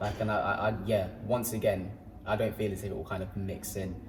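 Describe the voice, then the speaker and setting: At a moderate pace, a man with an English accent speaks in a fairly low pitch and a monotone, flat intonation, with audible room echo and noticeable background noise. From England, Peterborough. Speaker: sprinter. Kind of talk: casual chat.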